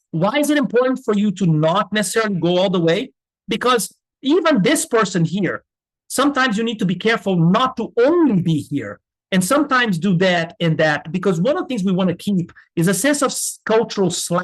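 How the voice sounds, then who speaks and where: Speaking at a fairly quick pace, a man with a slight non-native accent uses a high pitch and lively intonation. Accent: slight foreign accent, can pass as American. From Brazil. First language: Portuguese. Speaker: business school professor. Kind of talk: lecture. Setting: webinar.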